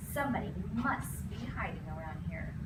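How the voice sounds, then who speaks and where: Loud background noise sits under a voice that is a put-on character voice. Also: moderate pace. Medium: read story.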